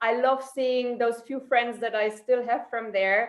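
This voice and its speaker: With a German accent, a woman speaks in a fairly high pitch. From Germany, Saarland. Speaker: psychologist. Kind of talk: interview.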